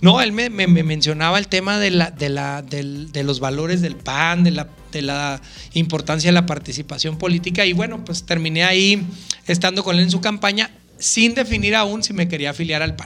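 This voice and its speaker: A man's high-pitched voice moves at a moderate pace amid noticeable background noise. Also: ordinary pitch variation. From Mexico, Chihuahua city. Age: 30s. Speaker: politician. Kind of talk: interview.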